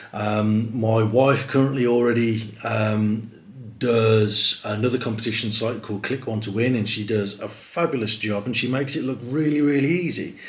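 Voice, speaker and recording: A man speaks at a medium pitch with fairly even intonation. Audible room echo and noticeable background noise are heard. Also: moderate pace. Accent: British. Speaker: competition site host. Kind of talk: live stream presentation. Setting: livestream to camera. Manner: hesitant, many ums.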